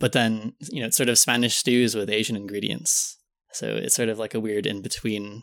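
A man's medium-pitched voice with an American accent and fairly even intonation. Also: moderate pace. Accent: American-sounding English. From Philippines, raised abroad as third culture kid. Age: 20s. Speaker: podcast guest. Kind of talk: casual chat.

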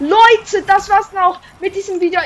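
An animated woman talks at a fairly slow pace. Noticeable background noise runs behind her. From Switzerland. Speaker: gaming YouTuber. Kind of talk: gameplay commentary.

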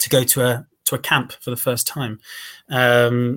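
With a southern English accent, a man talks at a medium pitch. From England, Cambridge. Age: 30s. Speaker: former volunteer fighter. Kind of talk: interview.

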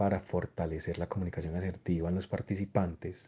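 Against a quiet background, a man's very deep, low voice holds a fairly even intonation. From Colombia, Antioquia (Copacabana near Medellín). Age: young. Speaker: education entrepreneur. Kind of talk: interview monologue. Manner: expressive.

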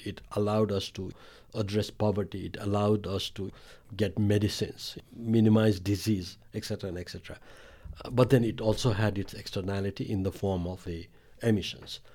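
A man at a fairly low pitch and fairly quick pace, with big swings in loudness, on a very clean recording with a silent background. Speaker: climate and disaster risk expert. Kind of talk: interview conversation.

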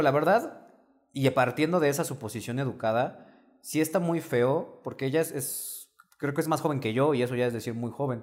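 Ordinary pitch variation marks a normal speaking voice that keeps a moderate pace. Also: man. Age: young. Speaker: dating coach. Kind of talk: casual chat.

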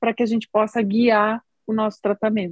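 Recorded with a dry, close sound and no echo, a woman speaks in a fairly high, somewhat breathy voice. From southern Brazil, Rio Grande do Sul. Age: 40s. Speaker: oncologist and app co-founder. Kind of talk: podcast interview.

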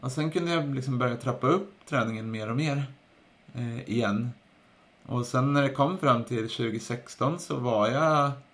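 In an unremarkable speaking voice, a man talks at a fairly slow pace and medium pitch with ordinary pitch variation. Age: 30s. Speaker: podcast host and runner. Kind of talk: interview as guest, casual chat.

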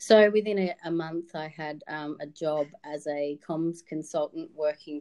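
The voice has an Australian accent and a monotone, flat intonation. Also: woman. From Victoria, Australia (Wodonga, rural border region). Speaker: communications trainer. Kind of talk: podcast interview.

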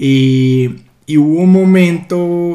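A man speaks in a dark, mellow tone. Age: 20s. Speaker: host's fiancé. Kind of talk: casual chat. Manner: halting.

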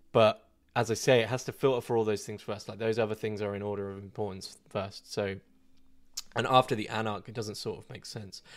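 Here a man speaks with an English accent at a fairly low pitch. His pace is moderate, and the recording is very clean with a silent background. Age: 20s. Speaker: online philosophy content creator. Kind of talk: live Q&A stream. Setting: live video stream. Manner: casual, hesitant with fillers.

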